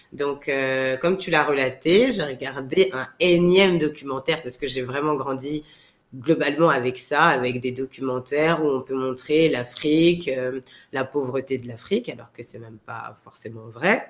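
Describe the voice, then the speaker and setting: The speaker is a woman with a very deep, low pitch. She talks at a fairly slow pace. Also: ordinary pitch variation. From France, Paris. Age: 30s. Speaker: TV show co-founder. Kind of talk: interview. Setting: podcast.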